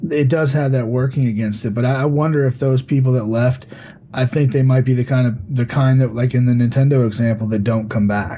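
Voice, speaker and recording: Over noticeable background noise, a man at medium pitch speaks at a fairly quick pace with fairly even intonation and very even loudness. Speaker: gaming podcast co-host. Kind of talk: casual panel chat. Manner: talks a lot, heated.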